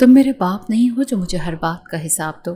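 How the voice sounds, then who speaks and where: Put-on, growling character voice from a woman, medium in pitch, fairly quick, with lively intonation. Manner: growling, defiant.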